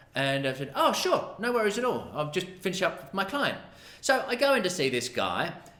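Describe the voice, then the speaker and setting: In a raised, projected voice, a man speaks at a fairly quick pace and high pitch with very wide pitch swings. Audible room echo and noticeable background noise surround him. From Australia. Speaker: massage therapist. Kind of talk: storytelling. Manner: casual, animated.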